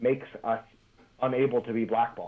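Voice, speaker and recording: A man speaks at a moderate pace. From Philadelphia, US. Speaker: professional wrestler. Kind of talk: interview. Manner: halting, many repeated words.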